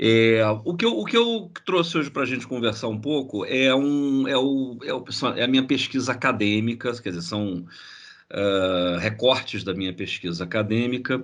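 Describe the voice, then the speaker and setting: Amid audible room echo, a man with a Carioca accent speaks at a moderate pace and medium pitch with lively intonation. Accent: carioca (Rio de Janeiro) Brazilian Portuguese. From Brazil, Rio de Janeiro. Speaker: graphic designer and researcher. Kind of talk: online lecture. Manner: halting, repeats words.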